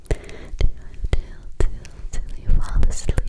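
Whispering from a soft-spoken woman, at a very slow pace. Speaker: ASMR creator. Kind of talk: whispered soothing ASMR talk. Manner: soft close-up ASMR whisper.

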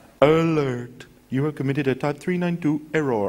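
A man's put-on, robotic character voice, fairly high in pitch, at a moderate pace.

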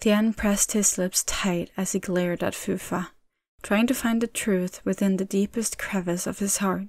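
A quiet background behind plain reading aloud

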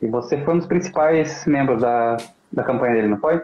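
A man with a normal speaking voice and fairly high pitch speaks at a fairly quick pace with ordinary pitch variation. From Brazil, Santa Catarina (Joinville); Santa Catarina, Brazil. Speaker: political movement spokesman, live show host. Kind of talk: casual live-stream interview. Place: home room. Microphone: video call.

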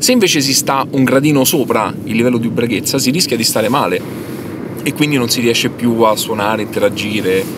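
A man's voice sounds dry, with no echo, over noticeable background noise. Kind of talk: interview answer. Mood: wry, mock-scientific humor. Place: car.

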